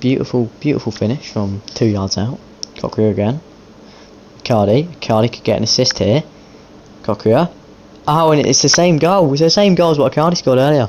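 Over noticeable background noise, a man speaks with lively intonation at a moderate pace. He pauses long and often. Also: medium pitch for a man. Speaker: gaming YouTuber. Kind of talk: live commentary over video game football match. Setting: gaming video with voiceover. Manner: informal, chatty, addressing viewers and players as 'mate'.

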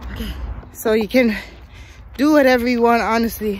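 At a fairly slow pace, a woman speaks with fairly even intonation in a dry sound with no echo. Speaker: footballer giving a workout tutorial. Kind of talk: tutorial. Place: forest. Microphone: phone near.

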